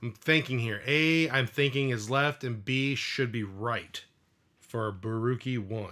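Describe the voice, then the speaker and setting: A man speaks at medium pitch with a strong Midwestern accent. His tone is bright and sharp, and his pitch varies in an ordinary way. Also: fairly slow pace. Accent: thick Midwestern (self-described). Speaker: streamer building custom controllers. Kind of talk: live stream casual chat. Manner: casual, hesitant with many fillers.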